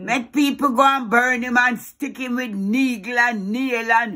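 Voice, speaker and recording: A woman with a Jamaican accent and a high pitch speaks in an angry tone at a fairly slow pace against a quiet background. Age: old. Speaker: grandmother. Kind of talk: reaction to video. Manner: angry, agitated. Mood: outraged, indignant. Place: home room.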